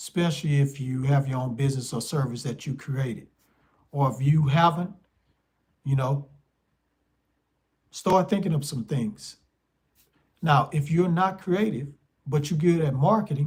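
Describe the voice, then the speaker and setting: With an American accent, a man at a fairly high pitch sounds somewhat breathy, using ordinary pitch variation and long, frequent pauses. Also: moderate pace. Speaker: spiritual life coach. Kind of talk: casual monologue vlog.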